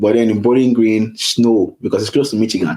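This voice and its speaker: The tone is dark and mellow. Delivery is fairly quick, with fairly even intonation. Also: man. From Nigeria, Lagos. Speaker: international student. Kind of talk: interview.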